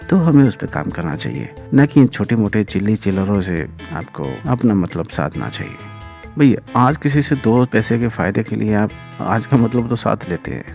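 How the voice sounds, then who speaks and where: A man speaks with a fairly low pitch and very wide pitch swings. Music plays in the background. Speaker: voiceover artist. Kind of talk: reflective podcast monologue.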